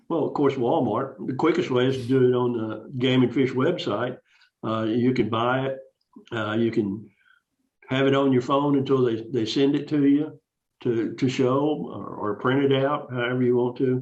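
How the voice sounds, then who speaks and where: Here a man speaks at a medium pitch. His pace is moderate and his intonation fairly even. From Texas, San Antonio. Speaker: fishing club member. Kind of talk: casual interview.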